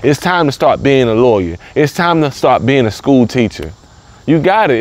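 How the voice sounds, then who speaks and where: His intonation is lively as a man speaks in a Southern US accent. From US South, the Carolinas. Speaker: motivational speaker. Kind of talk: motivational talk. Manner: repetitive, emphatic.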